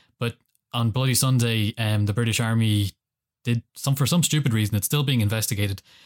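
A man with an Irish accent at a fairly quick pace, fairly even in intonation and very even in loudness, in a very clean, dry, close recording with no echo and a silent background. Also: medium pitch for a man. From Ireland. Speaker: political science graduate. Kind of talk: casual chat.

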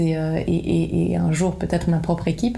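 A woman talks at a moderate pace. Her recording carries audible room echo and noticeable background noise. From Belgium, Liège (Wallonia). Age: 30s. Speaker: agency founder and business owner. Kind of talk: interview. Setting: office.

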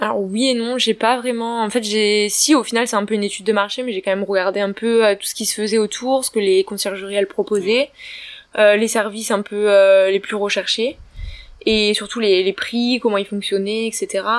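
Speech comes at a moderate pace with fairly even intonation, over noticeable background noise. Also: woman, fairly high pitch for a woman. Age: 20s. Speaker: young business owner. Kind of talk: casual interview.

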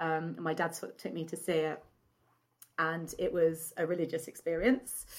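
With an English accent, a woman at a fairly low pitch speaks at a fairly slow pace. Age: 40s. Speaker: horror podcaster and writer. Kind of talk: casual chat. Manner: animated.

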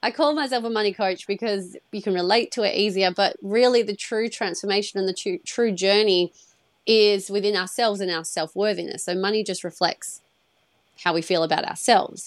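With a Western Australian accent, a woman speaks at a fairly quick pace in a medium pitch with ordinary pitch variation. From Perth, Australia. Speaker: money coach. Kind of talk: casual interview chat. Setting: video call.

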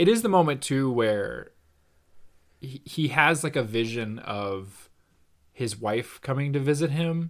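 In a very clean recording with a silent background, a man with a fairly high pitch speaks at a fairly slow pace, leaving long, frequent pauses. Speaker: podcast co-host. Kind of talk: casual chat. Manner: animated.

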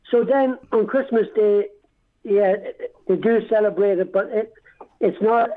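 A man with an Irish accent and a high pitch speaks at a fairly slow pace. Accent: Dundalk Irish, kept. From Dundalk, Ireland. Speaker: army veteran. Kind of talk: interview. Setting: phone call.

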